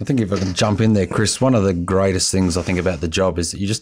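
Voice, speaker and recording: Speaking very fast with fairly even intonation, a man has a very deep, low pitch. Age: 20s. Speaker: police officer. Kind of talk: radio interview.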